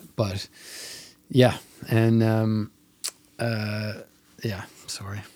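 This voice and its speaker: Here a man talks at a very slow pace, his pitch fairly low. His intonation is monotone and flat. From Mount Pearl, Newfoundland, Canada. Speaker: filmmaker. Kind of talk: casual chat. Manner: halting.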